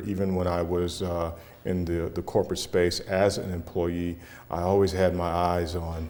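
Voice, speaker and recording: With audible room echo, a man speaks at a moderate pace in a very deep, low pitch, using a dark, mellow tone and monotone, flat intonation. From US Midwest, Cleveland, Ohio. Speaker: business owner, chamber leader. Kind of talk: interview.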